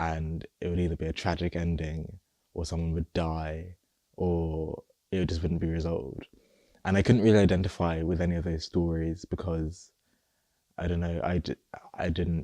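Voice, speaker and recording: Over a quiet background, a man with a very deep, low pitch and a dark, mellow tone speaks at a moderate pace in a flat monotone with long, frequent pauses, the sound dry and close with no echo. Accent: southern English. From England, Luton, Nigerian family. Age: 20s. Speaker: interviewee sharing personal story. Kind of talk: personal testimony interview. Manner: halting, some repetitions.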